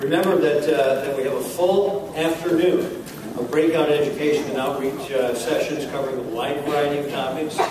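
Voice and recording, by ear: A man's fairly high voice at a moderate pace, fairly even in intonation, with audible room echo and clear background noise. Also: few pauses.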